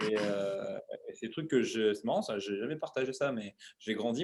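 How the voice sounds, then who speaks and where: This man's voice sits at a medium pitch. He moves at a fairly quick pace with ordinary pitch variation. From Paris, France (18th arrondissement). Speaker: CrossFit coach and show creator. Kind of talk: interview, casual chat. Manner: hesitant, many fillers.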